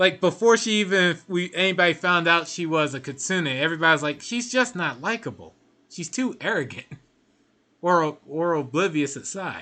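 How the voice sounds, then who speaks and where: This man talks at a moderate pace in a high pitch, with ordinary pitch variation. His tone is bright and sharp against a quiet background. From United States. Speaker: video game streamer. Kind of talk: live gameplay commentary, reading chat aloud. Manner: casual, conversational.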